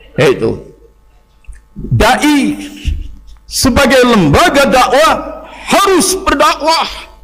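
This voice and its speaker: A man with an extremely high pitch and lively intonation is heard over noticeable background noise and audible room echo. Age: 60s. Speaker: Islamic preacher. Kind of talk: sermon.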